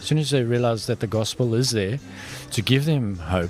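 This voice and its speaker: A South African accent at a moderate pace, with ordinary pitch variation. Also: man. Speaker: prison ministry worker. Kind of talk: interview. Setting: in-person interview.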